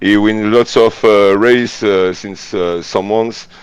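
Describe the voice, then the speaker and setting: Here a man speaks at a very slow pace. His fairly low pitch has fairly even intonation. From France. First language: French. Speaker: racing team organizer. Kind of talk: live commentary. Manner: halting, many hesitations.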